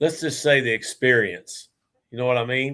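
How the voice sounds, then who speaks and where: A man at medium pitch talks at a moderate pace with fairly even intonation. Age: 60s. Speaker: beekeeper. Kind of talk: casual chat.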